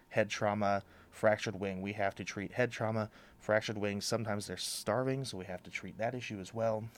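An unremarkable speaking voice from a man with an American accent, fairly low pitch, fairly even intonation and a fairly quick pace, on a very clean recording with a silent background. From Oregon, Astoria. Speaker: wildlife center director. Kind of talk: radio interview. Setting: studio.

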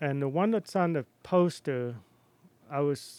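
The recording is very clean and silent, with a dry, close sound and no echo, as a man with a New York accent speaks at a fairly high pitch with ordinary variation. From New York City and Cape Cod. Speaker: artist and printmaking instructor. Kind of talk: casual radio interview. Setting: studio.

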